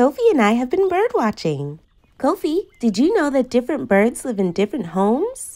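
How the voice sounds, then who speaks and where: Her high pitch swinging very widely, a woman speaks at a moderate pace with a dark, mellow tone over a quiet background. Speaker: children's show host. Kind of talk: educational kids' show narration.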